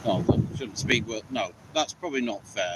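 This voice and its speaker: A man at medium pitch and a moderate pace, with ordinary pitch variation over noticeable background noise. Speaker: outdoor camping vlogger. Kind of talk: unscripted live stream. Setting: outdoors in a coppice. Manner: loud. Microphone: poor sound quality.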